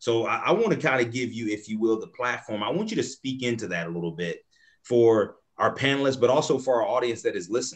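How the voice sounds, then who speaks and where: Against a quiet background, a man with an American accent talks at a very fast pace and medium pitch. His intonation is lively and his tone animated. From US South. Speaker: moderator, nonprofit executive director; moderator. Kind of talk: panel discussion moderation. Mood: earnest, engaged. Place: home room. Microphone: video call.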